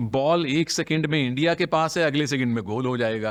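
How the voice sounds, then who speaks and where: Using a plain, everyday voice, a man with fairly high pitch talks at a moderate pace with lively intonation. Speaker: sports commentator. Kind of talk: podcast interview answer.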